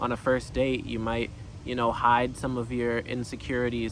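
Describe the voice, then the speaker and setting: Monotone, flat intonation marks this man's medium-pitched voice with an American accent. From United States. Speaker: actor. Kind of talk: personal reflection monologue. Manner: halting, many fillers.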